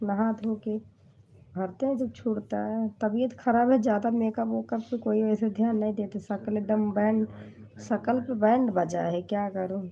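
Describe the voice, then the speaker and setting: A woman speaks at a fairly high pitch, somewhat breathy. Her delivery is fairly slow, with flat, monotone intonation. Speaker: comedy video creator. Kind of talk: casual chat. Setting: livestream.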